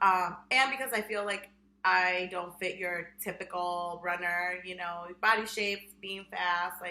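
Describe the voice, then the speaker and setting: This voice has a bright, sharp tone and a fairly slow pace. The intonation stays fairly even while the loudness swings widely. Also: woman. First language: Spanish. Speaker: podcast co-host, high school Spanish teacher. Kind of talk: casual chat. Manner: frequent fillers (um, like).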